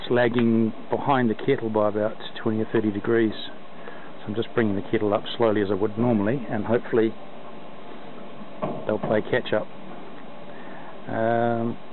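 Over noticeable background noise, a man speaks at a moderate pace in a flat monotone, with long, frequent pauses and a dry sound with no echo. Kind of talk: tutorial. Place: open country. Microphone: phone near.

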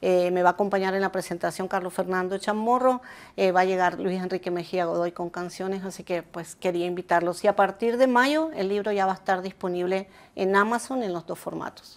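Talking at a fairly quick pace, a woman uses a medium pitch with ordinary pitch variation. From Argentina, long life in Nicaragua. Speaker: journalist and author; journalist. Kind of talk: interview. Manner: halting, many fillers. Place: home room.

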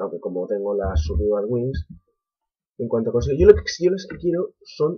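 A man with a Spanish accent at a moderate pace, his pitch swinging very widely, with music in the background. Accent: Peninsular Spanish. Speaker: gaming youtuber. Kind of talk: gameplay commentary. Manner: animated.

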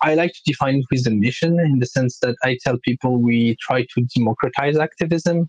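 A man uses an ordinary speaking voice at a medium pitch and a fairly quick pace, with hardly any pauses, ordinary pitch variation and big swings in loudness, in a dry, close sound with no echo. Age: 20s. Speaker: crypto project founder. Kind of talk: interview.

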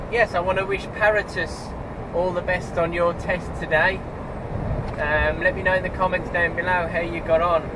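A man at a moderate pace with long, frequent pauses amid noticeable background noise. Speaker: truck driver vlogger. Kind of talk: casual vlog chat. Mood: cheerful, relaxed. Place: car.

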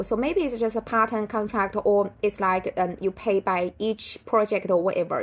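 A woman with a Chinese accent talks at a moderate pace. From China. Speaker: writer and vlogger. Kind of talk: casual vlog commentary. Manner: halting, many fillers. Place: home room. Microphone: phone near.

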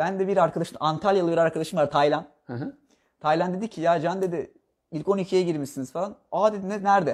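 Quick-paced and high-pitched, a man speaks against a quiet background. His pitch moves in an ordinary way. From Bodrum, Turkey; Turkey. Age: 20s. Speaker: architect; interviewee. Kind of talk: interview. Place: home room.

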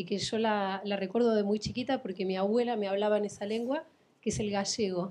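A woman with an Argentine accent speaks at a fairly quick pace and fairly high pitch. Her tone is dark and mellow, her intonation fairly even, over a quiet background. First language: Spanish (speaking Portuguese). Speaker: instructor. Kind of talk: audience question.

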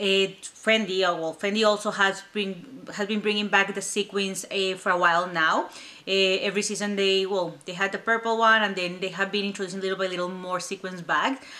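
This woman talks at a moderate pace in a monotone, flat intonation with a non-native accent. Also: medium pitch for a woman. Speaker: YouTube handbag reviewer. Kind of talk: casual vlog chat. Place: home room.

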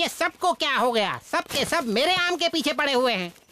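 This cartoonish character voice is high-pitched and moves at a fairly quick pace. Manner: grumpy, rude.

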